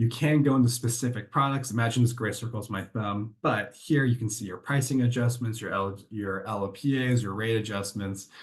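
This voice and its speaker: Somewhat breathy and medium in pitch, a man talks at a fairly quick pace with hardly any pauses and fairly even intonation. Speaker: software vendor presenter. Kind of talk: product demo. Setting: webinar. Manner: fast.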